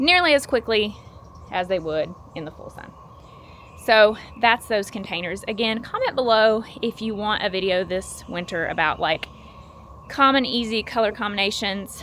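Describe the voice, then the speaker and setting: Speaking with a Southern US accent at a moderate pace, a woman of medium pitch uses lively intonation, big swings in loudness, and long, frequent pauses. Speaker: gardening YouTuber. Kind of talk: casual vlog tutorial. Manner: casual, filler-heavy.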